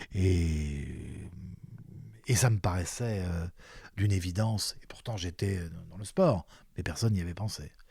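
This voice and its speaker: A man with a very deep, low pitch and a dark, mellow, somewhat breathy tone talks at a fairly slow pace with ordinary pitch variation, big swings in loudness, and long, frequent pauses. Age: 60s. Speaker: retired sports journalist and commentator. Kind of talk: interview conversation. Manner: halting, with many repetitions and fillers.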